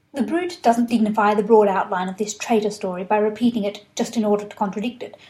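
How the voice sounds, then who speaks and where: Someone with an Australian accent talks at a very fast pace in a somewhat breathy voice. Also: woman. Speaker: historian. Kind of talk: lecture.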